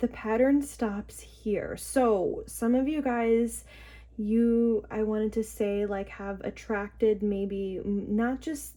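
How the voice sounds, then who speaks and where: A woman's somewhat breathy voice with a dark, mellow tone at a very slow pace, on a very clean recording with a silent background. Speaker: tarot reader. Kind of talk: tarot reading to camera. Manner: hesitant, many filler words.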